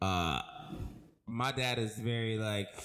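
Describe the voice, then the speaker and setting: Man with an American accent and fairly even intonation. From Florida (Tampa). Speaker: podcast co-host. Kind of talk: casual chat. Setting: home.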